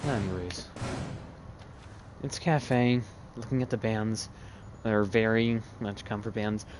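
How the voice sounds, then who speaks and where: Over music in the background, a man talks at a fairly slow pace in a medium pitch with fairly even intonation and long, frequent pauses. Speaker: esports caster. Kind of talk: live commentary.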